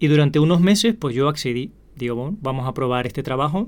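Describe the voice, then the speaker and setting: A man speaks at a fairly quick pace with a fairly high pitch in an unremarkable speaking voice. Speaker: podcast host. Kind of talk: casual storytelling monologue.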